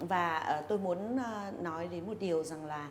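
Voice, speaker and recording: Audible room echo and noticeable background noise come through as a woman with a fairly low pitch speaks with lively intonation. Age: old. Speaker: HR association member. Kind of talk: interview.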